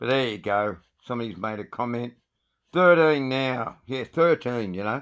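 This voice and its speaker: A man with an Australian accent, medium pitch and a moderate pace. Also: ordinary pitch variation. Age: 60s. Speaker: livestreamer. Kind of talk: casual live stream talk. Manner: animated.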